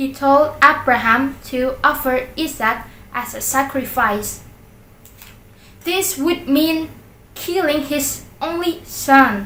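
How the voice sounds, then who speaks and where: A woman with a high voice and a Central Highlands Vietnamese accent projects loudly at a very slow pace, with ordinary pitch variation. She leaves long, frequent pauses, and the room echo is audible. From Central Highlands of Vietnam. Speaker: YouTuber. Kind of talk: reading aloud. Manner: halting.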